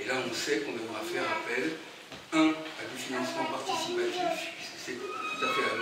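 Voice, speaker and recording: With music in the background and audible room echo, a man speaks at a moderate pace. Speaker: speaker. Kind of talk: informal presentation to audience. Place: hall. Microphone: camera far.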